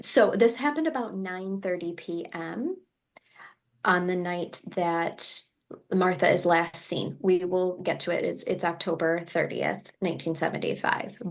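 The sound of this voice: Speaking at a fairly slow pace with a Michigan accent, a woman talks at a medium pitch with ordinary pitch variation.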